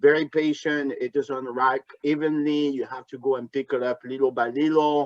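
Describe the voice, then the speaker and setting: A man with a French accent speaks at a moderate pace. The sound is dry and close, with no echo. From France, Bordeaux. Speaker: wine importer and tasting host. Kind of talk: hosted trade tasting over video call. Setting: video call. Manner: halting, many fillers.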